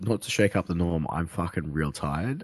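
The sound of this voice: In a put-on character voice, a man speaks at a moderate pace with a very deep, low pitch and a croaky sound, over light background noise.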